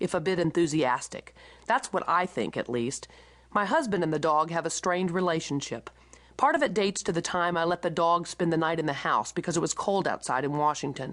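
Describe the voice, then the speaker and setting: With an American accent, a woman talks at a fairly quick pace and a fairly low pitch. Her pitch varies in an ordinary way over a quiet background. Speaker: author reading her own memoir. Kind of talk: audiobook memoir narration.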